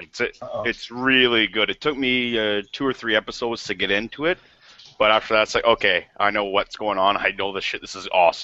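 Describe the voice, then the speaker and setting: Fairly quick delivery with ordinary pitch variation in an ordinary speaking voice. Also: man, medium pitch for a man. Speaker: arcade collector, panel regular. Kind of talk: casual chat. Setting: video call.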